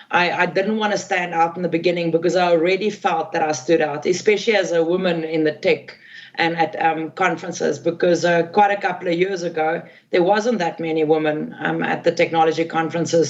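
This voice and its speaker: A woman talks at a fairly quick pace, her pitch fairly low. Noticeable background noise runs behind her. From South Africa. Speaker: tech community expert. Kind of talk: podcast interview. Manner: loud; animated.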